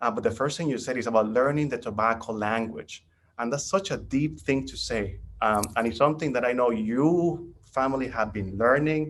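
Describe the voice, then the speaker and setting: A man speaks in a Spanish accent at a fairly quick pace. His pitch varies in an ordinary way. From Nicaragua. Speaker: caller. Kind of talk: casual chat.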